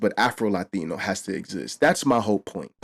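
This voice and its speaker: A man speaks with ordinary pitch variation. The recording is very clean with a silent background. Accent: New York. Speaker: reaction and commentary youtuber. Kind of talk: casual commentary to camera.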